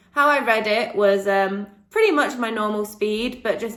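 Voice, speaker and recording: There is audible room echo as a woman speaks at a moderate pace in a medium pitch with ordinary pitch variation. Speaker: vlogger and online English tutor. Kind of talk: casual vlog talk. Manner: hesitant, many ums.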